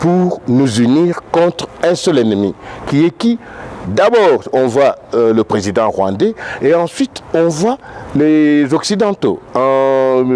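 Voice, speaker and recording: A man's fairly high voice at a very slow pace, with very wide pitch swings and noticeable background noise. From DR Congo, Katanga, Lubumbashi. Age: 60s. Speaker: political activist. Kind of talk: interview. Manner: halting.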